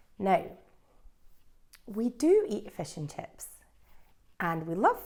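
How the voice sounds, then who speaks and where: In a Scottish accent, a woman with a dark, mellow tone speaks at a very slow pace. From Scotland. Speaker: English teacher. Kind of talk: language lesson.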